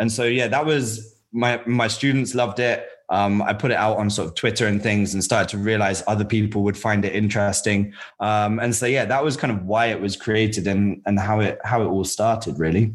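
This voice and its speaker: In a very clean recording with a silent background, an unremarkable speaking voice moves at a fairly quick pace with hardly any pauses and fairly even intonation. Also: man, fairly low pitch for a man. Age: 30s. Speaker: web developer and founder of a learning platform. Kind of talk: casual interview chat.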